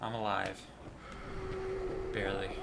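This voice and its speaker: A soft-spoken man at a moderate pace, with audible room echo and noticeable background noise. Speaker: gaming video host. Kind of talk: let's play commentary. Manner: casual. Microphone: may be too quiet.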